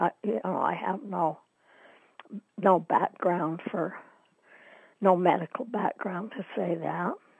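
A woman with an American accent speaks very slowly with vocal fry, ordinary pitch variation and long, frequent pauses. The sound is dry with no echo, over a quiet background. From Utah, US. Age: 80s. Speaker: interviewee, downwinder oral history participant. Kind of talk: oral history interview, recounting memories. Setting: phone call. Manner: hesitant, with fillers. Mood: reflective, somber. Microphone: phone line.

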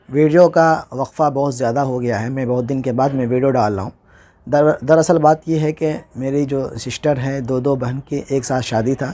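With a dark, mellow tone and a fairly high pitch, a man moves at a moderate pace, his pitch varying in an ordinary way. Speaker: Urdu teacher, YouTuber. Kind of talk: tutorial. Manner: halting.

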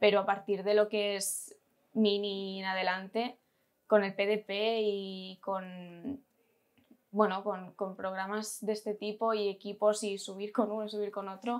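The voice is heard against a quiet background. It moves at a fairly slow pace with monotone, flat intonation. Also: woman. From Catalonia, Spain. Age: 20s. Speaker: amateur basketball player. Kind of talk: interview. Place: office.

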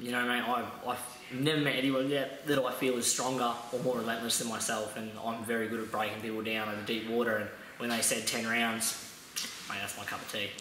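With audible room echo and light background noise, a man speaks at a fairly quick pace in a flat monotone. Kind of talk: interview answer. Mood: proud, calm after a win.

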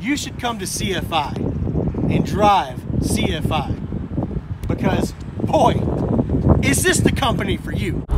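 A man talks at a fairly slow pace, leaving long, frequent pauses. The sound is dry with no echo, over loud background noise. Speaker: truck driver vlogger. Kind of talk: casual vlog chat. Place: street. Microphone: phone near.

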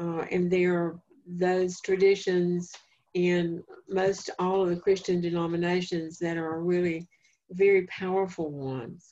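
A fairly slow, monotone delivery with flat intonation, a dark, mellow tone and a North Carolina accent. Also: woman, fairly low pitch for a woman. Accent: Southern US (North Carolina). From eastern North Carolina, Duplin County. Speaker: family therapist and speaker; presenter. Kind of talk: lecture; lecture / talk answer. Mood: calm, reflective. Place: home room. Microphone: video call.

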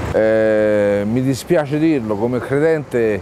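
The sound is dry with no echo, with light background noise. A man speaks with ordinary pitch variation. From Rome, Italy; Italy. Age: 50s. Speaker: homeless man living in his car; interviewee. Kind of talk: testimony. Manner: halting, with many repetitions. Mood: bitter, resigned. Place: garden. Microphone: lapel.

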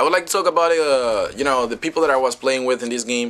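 In a Spanish accent, a man at medium pitch speaks with lively intonation. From Dominican Republic. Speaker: gaming YouTuber. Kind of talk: gameplay commentary. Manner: halting, many fillers.

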